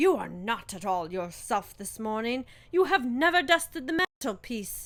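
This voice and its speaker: Putting on a character voice, a woman speaks high-pitched with very wide pitch swings. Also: moderate pace. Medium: read story.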